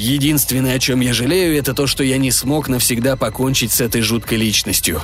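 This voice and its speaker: Over music in the background, the speaker uses a dramatic, pompous tone at a fairly quick pace with hardly any pauses. Loudness stays very even while pitch varies in an ordinary way. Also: man, medium pitch for a man. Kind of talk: literary audiobook reading, first-person sci-fi narration with voiced character dialogue.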